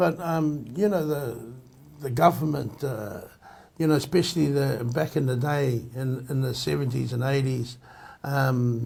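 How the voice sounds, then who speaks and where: At a fairly slow pace, a man speaks in a somewhat breathy, medium-pitched voice with ordinary pitch variation. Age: 60s. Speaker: Māori community member. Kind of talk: group discussion. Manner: halting.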